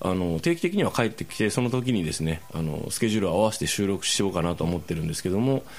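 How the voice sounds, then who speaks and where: The speaker uses a normal speaking voice at a fairly quick pace. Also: man. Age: 40s. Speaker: podcast host. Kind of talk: casual chat.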